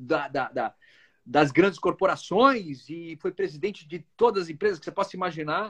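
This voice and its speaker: A man is speaking. His intonation is lively. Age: 40s. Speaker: actor and musician. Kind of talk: casual chat.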